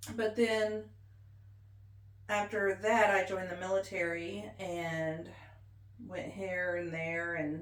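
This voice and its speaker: A woman's very slow speech in an American accent, with noticeable background noise and audible room echo. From Missouri Ozarks. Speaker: military veteran and interviewee. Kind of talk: oral history interview. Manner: casual, conversational.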